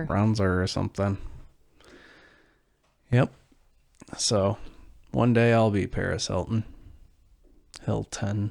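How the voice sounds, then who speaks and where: In a Midwestern American accent, a man speaks at fairly low pitch. His pace is very slow, with long, frequent pauses. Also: ordinary pitch variation. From American Midwest.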